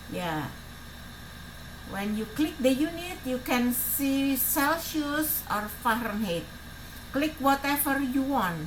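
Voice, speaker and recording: A woman's very slow, high-pitched delivery with lively intonation and long, frequent pauses, plus audible room echo. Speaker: tech tutorial youtuber. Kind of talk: tutorial. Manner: halting, many fillers.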